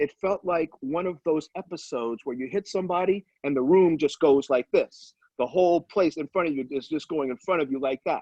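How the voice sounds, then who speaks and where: A man speaks in a plain, everyday voice at a fairly high pitch with ordinary pitch variation. He keeps a fairly quick pace with hardly any pauses. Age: 60s. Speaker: former NFL player. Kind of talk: testimony.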